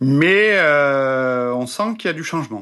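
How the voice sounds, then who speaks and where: A man's bright, sharp tone at medium pitch against a quiet background. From France. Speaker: podcast host and former restaurant owner. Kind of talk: casual interview chat.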